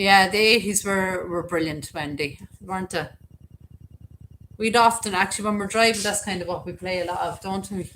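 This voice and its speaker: A woman with an Irish accent speaks at medium pitch and a moderate pace, her intonation fairly even. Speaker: YouTuber, cemetery videos. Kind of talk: casual live-stream chat. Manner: chatty, filler-heavy.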